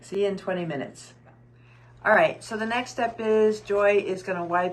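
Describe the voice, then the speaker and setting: Her pitch sits at a medium level for a woman and varies in an ordinary way, while noticeable background noise runs underneath. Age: 60s. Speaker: cosmetic surgery patient and clinic co-owner. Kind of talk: live procedure walkthrough. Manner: hesitant, many fillers.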